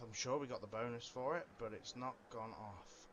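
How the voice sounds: Speaking at a moderate pace and medium pitch, a man has a fairly bright tone and ordinary pitch variation.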